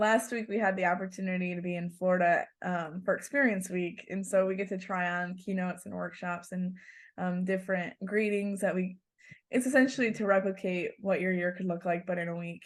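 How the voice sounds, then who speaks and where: A woman speaks with a northern US accent. Her pitch is medium and her pace fairly quick. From Michigan, US. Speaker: national youth agriculture organization president. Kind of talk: podcast interview. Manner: animated.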